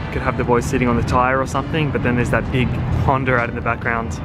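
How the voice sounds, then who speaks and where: A man's voice, dry with no echo, over music in the background. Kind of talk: casual vlog chat. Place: street. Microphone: phone near.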